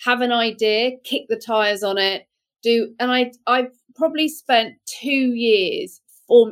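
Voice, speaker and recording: A British accent with ordinary pitch variation. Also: woman. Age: 50s. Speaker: beauty brand founder and entrepreneur. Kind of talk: interview. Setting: video call.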